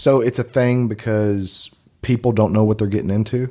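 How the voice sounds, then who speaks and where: A man speaks with a Kentucky accent in a dark, mellow tone. His intonation is fairly even. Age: 30s. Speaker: real estate agent. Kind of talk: casual chat.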